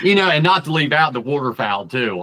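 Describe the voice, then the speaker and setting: A man speaks in an Eastern Shore accent with a bright, sharp tone. His pitch varies in an ordinary way. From Eastern Shore, US.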